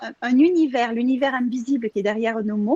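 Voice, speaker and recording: The speaker has a Marseille accent and a moderate pace. The sound is dry and close, with no echo. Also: woman. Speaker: contributing author. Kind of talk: casual chat. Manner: halting.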